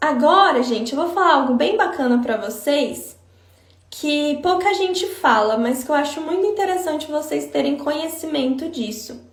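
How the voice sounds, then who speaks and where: Her intonation is lively and her pitch high for a woman. She speaks at a moderate pace. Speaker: psychologist. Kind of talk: live stream talk. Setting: Instagram live.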